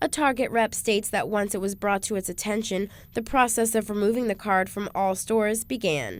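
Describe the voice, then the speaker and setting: In a very clean recording with a silent background, a woman with an ordinary speaking voice talks at a fairly quick pace and medium pitch, with ordinary pitch variation and hardly any pauses. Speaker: radio news and traffic reporter. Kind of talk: radio newscast read.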